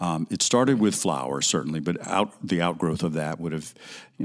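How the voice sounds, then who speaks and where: This man's voice is very deep and low, moving at a fairly quick pace. The recording is very clean and the background silent. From Alabama. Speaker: florist and event designer. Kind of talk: interview conversation. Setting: in person, office.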